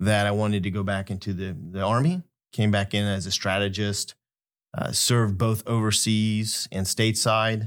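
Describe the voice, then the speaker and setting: A plain, everyday voice speaks with an American accent at a moderate pace and fairly even intonation. The recording is very clean, with a silent background. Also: man. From Kansas, US Midwest. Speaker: academic director, retired army officer. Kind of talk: interview chat.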